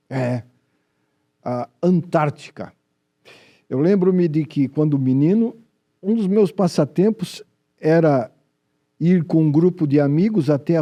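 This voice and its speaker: At a very slow pace, a man with a fairly high pitch and a dark, mellow tone speaks with lively intonation. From Brazil, Joinville (Santa Catarina). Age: 70s. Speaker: TV health show host. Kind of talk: TV show presenting.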